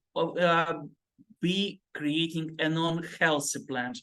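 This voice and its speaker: This man speaks with a non-native accent. His pitch is high. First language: not English. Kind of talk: group discussion. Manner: halting.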